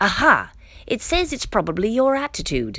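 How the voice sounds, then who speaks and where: A woman doing a squeaky, put-on character voice. Her pitch sits high, and she talks at a moderate pace. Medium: read story. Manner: stammering when scared.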